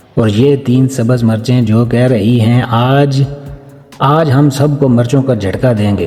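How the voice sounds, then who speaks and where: Music plays in the background as a man speaks at a medium pitch with ordinary pitch variation. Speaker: cooking channel host. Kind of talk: comic cooking voice-over. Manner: playful, joking.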